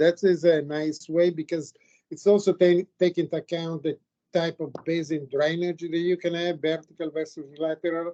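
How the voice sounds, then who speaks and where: At a moderate pace, a man with an Italian accent speaks in a high pitch with a dark, mellow tone and monotone, flat intonation, in a dry, close sound with no echo. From Italy. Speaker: geologist, committee member. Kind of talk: academic Q&A feedback.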